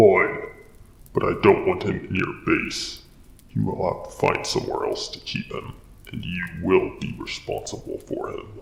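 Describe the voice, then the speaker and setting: A man performs a put-on character voice. It has an extremely high pitch and a moderate pace. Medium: machinima. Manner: stern, tense.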